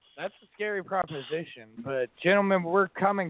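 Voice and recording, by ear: A man is speaking. The sound is dry and close, with no echo.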